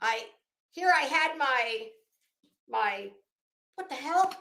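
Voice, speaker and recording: Someone shouts in a raised, projected voice with a bright, sharp tone and very wide pitch swings, with audible room echo around it. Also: woman. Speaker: true crime commentator. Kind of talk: casual commentary livestream. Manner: loud, yelling.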